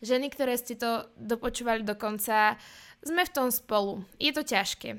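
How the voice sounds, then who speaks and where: On a very clean recording with a silent background, a woman talks at a moderate pace in a high pitch with fairly even intonation. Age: 20s. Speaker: podcast host. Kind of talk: personal monologue.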